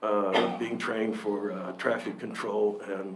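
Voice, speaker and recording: With audible room echo and noticeable background noise, a man speaks at a very slow pace in a fairly low pitch. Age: 60s. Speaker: public commenter, volunteer firefighter. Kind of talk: public comment at council meeting. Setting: county commission meeting room. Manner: halting, many fillers and restarts.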